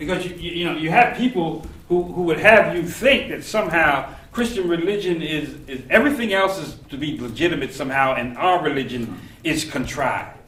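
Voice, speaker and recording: The speaker talks at a fairly quick pace with lively intonation and hardly any pauses, the loudness swinging widely. Noticeable background noise sits under the voice. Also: man, high pitch for a man. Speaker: seminary professor. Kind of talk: lecture. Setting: classroom.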